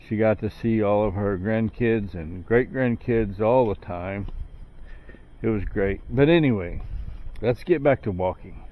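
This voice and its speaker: A man talks in a relaxed, dark, mellow tone. His pitch is fairly low. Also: ordinary pitch variation, fairly slow pace. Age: 60s. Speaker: vlogger. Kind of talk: casual monologue. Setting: outdoors, night walk. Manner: relaxed, with fillers.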